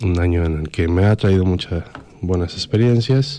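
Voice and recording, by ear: The man's voice is low-pitched and nasal. Its tone is dark and mellow. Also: ordinary pitch variation, moderate pace.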